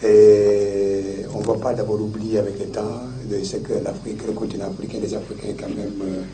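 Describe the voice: A man talks at a moderate pace with a fairly low pitch and little pitch movement. His tone is dark and mellow, with audible room echo.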